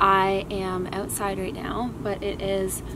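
Background noise is noticeable. A woman does the talking. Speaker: vlogger. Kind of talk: casual vlog chat. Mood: cheerful, relaxed. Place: garden.

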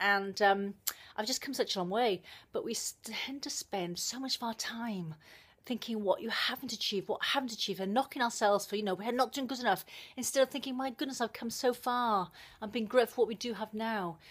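Speaking at a fairly quick pace, a woman with a Welsh accent uses ordinary pitch variation. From South Wales, living in New Zealand. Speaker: personal development blogger, video monologue. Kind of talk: casual vlog chat. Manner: fast talker. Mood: earnest, reflective. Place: home room. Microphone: phone near.

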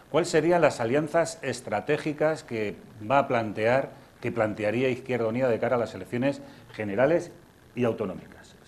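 The speaker has an unremarkable speaking voice and lively intonation. The pace is moderate. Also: man. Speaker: TV host and moderator; TV host, moderator. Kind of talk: moderating a public interview, reading audience questions. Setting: live event with audience. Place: hall. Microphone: lapel.

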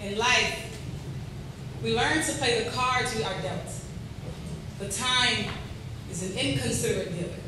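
Amid strong room echo and noticeable background noise, a woman talks with long, frequent pauses. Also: fairly slow pace. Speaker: spoken word poet. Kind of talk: spoken word poetry performance. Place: hall.

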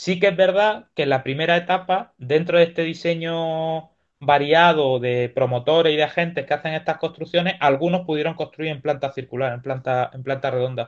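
A man with a fairly high pitch speaks at a moderate pace with hardly any pauses and ordinary pitch variation over a quiet background. He has an unremarkable speaking voice. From Spain, Granada (Andalusia); Andalusia, Spain. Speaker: university lecturer, archaeologist. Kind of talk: Q&A discussion; academic lecture. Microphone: video call.

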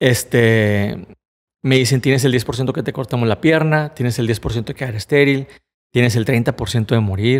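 A man at a medium pitch with ordinary variation, speaking at a fairly slow pace against a quiet background. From Mexico, Monterrey; Nuevo León, Mexico. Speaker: motivational speaker, cancer survivor; podcast guest. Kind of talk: personal testimony in interview. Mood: earnest, reflective storytelling. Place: studio. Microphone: studio mic.

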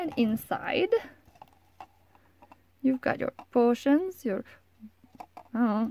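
Quiet and mumbling, a woman talks in a high voice at a fairly slow pace with long, frequent pauses and ordinary pitch variation. Her loudness swings widely, and the sound is dry with no echo. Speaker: hobby crafter. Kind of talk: casual talk to camera. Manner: mumbling, quiet; hesitant, many fillers. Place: home room. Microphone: phone near.

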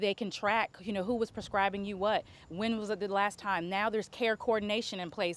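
A woman at a moderate pace, fairly even intonation, dry sound with no echo. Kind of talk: interview answer. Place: street. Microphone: lapel.

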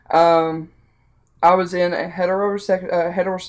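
A Southern US accent in a very clean recording with a silent background. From US South. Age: 20s. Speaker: vlogger. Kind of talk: personal testimony. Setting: at home with child in background. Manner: halting.

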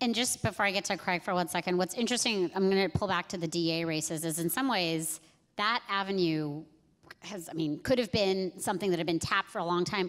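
Ordinary pitch variation marks this woman's fairly quick speech. Behind her, the background is quiet. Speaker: panel moderator, civil rights advocate; panel moderator. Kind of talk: panel moderation. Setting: stage with audience. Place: stage. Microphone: handheld.

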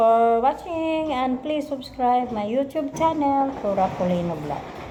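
A woman with a high pitch and lively intonation talks fairly slowly with hardly any pauses, and background noise is noticeable. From Philippines, Misamis Occidental (Mindanao). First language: Cebuano (Bisaya) (speaking Tagalog). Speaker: vlogger, health center worker, former teacher. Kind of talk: casual vlog self-introduction. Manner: halting.

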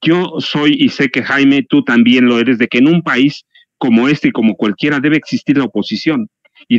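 Recorded dry with no echo over a quiet background, a man with a Mexican accent speaks with ordinary pitch variation. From Mexico. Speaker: journalist and writer; journalist, guest. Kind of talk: political commentary panel. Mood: critical, concerned. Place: home room. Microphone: headset.

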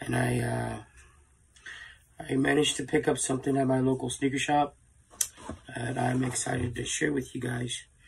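A man talks at a moderate pace with long, frequent pauses. Noticeable background noise runs under his voice. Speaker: sneaker reviewer. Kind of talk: casual product review. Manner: hesitant with fillers.

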